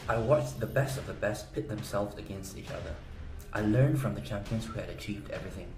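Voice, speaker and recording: A man speaks at a very fast pace in a medium pitch. Music plays in the background, and audible room echo is present. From South Korea. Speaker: gaming guide promoter. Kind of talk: sales pitch. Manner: animated.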